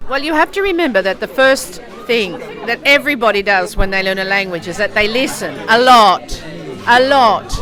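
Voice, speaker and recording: Over crowd noise and audible room echo, a woman with a Melbourne accent talks at a moderate pace with lively intonation and a fairly high pitch. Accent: Australian (Melbourne). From Australia, Melbourne. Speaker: English professor. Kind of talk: interview.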